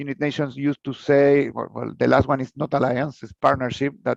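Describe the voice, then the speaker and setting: Here a man with a Spanish accent speaks at a fairly high pitch. The sound is dry and close, with no echo. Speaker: researcher and professor. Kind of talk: conference lecture. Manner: halting, many fillers and repetitions.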